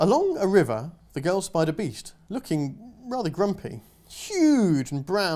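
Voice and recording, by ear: The voice reads aloud naturally.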